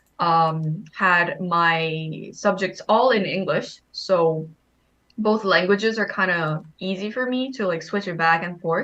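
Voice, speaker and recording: Her Korean accent comes through as this woman speaks at a very slow pace in a bright, sharp tone, with medium pitch and ordinary pitch variation. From Korean, raised in Thailand. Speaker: game participant sharing her background. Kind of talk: casual group chat.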